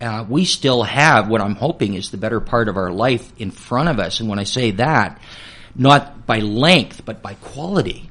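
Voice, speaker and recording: A man with a plain, everyday voice, medium pitch, lively intonation, and a moderate pace. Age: 60s. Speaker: retirement planning speaker. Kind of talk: radio interview.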